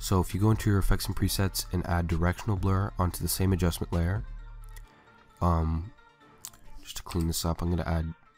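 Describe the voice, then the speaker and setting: Over background music, the speech runs at a fairly quick pace in a flat monotone, broken by long, frequent pauses. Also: man, very deep, low pitch for a man. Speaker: video editor. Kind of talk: software tutorial voiceover. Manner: casual, hesitant.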